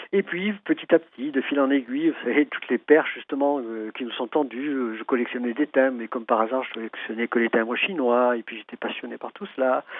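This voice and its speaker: A man speaks fairly quickly, with hardly any pauses. His medium-pitched voice shows ordinary pitch variation. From Algeria (French pied-noir family, Algiers). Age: 60s. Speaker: traditional Chinese medicine practitioner and author. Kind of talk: radio interview. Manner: halting, many repetitions and hesitations.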